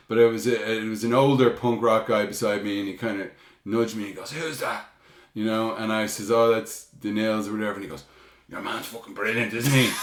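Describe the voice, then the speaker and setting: A man with a Dublin accent talks at a fairly quick pace with fairly even intonation and big swings in loudness. Room echo is audible, and there is noticeable background noise. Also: medium pitch for a man. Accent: Irish, Dublin. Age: 50s. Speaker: punk band frontman. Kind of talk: casual chat.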